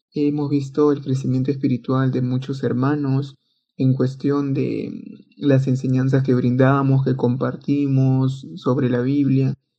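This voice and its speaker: A man's dark, mellow, medium-pitched voice, fairly slow and monotone with flat intonation. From Peru, Lima. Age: young. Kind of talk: testimony.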